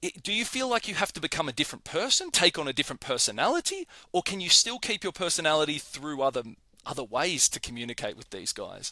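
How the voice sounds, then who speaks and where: In an Australian accent, a high-pitched man speaks at a very fast pace with a bright, sharp tone, very wide pitch swings and big swings in loudness, in a dry, close sound with no echo. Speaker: podcast host. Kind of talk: interview.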